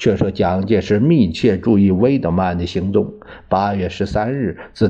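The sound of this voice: The speaker reads in an unforced voice.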